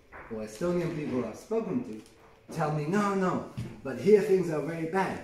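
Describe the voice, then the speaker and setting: A man speaks at a moderate pace with very wide pitch swings, amid noticeable background noise and audible room echo. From Colombia. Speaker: filmmaker. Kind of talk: interview. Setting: event interview.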